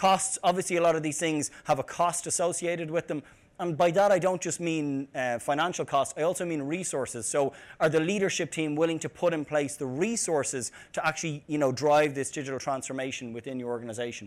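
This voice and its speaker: At a fairly quick pace, a man with an Irish accent talks at a fairly high pitch with ordinary pitch variation, on a very clean recording with a silent background. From Ireland, Dublin. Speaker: tech company CEO, conference speaker. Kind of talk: conference talk. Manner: hesitant, many fillers and repeated words.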